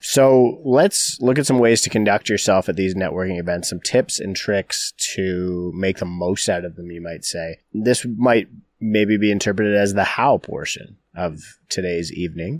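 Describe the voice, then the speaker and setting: In a very clean recording with a silent background and a dry, close sound with no echo, a man with a fairly low pitch speaks at a moderate pace with big swings in loudness. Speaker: podcast host, real estate broker. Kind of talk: casual conversational podcast. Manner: laid-back, fairly flat delivery.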